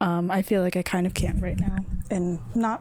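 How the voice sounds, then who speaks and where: Dark, mellow tone from a woman at a medium pitch. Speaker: video creator. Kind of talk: personal vlog monologue. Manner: rambling.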